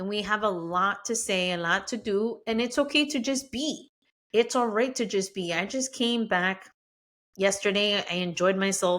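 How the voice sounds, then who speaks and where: A woman speaks in a Spanish accent with an animated tone, medium pitch and ordinary pitch variation at a moderate pace. The recording is very clean, with a silent background. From Mexico-born, raised in the US. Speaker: podcast host. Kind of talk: podcast monologue.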